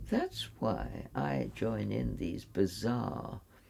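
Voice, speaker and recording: The voice is a woman's. Background noise is noticeable throughout. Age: 80s+. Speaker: retired reverend and climate activist. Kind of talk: interview answer.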